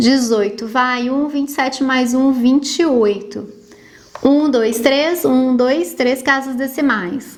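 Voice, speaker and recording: A woman's high-pitched voice at a very slow pace, with ordinary pitch variation, noticeable background noise and audible room echo. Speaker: math teacher. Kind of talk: tutorial.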